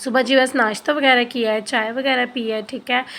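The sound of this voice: A woman talks at a moderate pace with a fairly high, fairly bright voice and some vocal fry. Her intonation is fairly even.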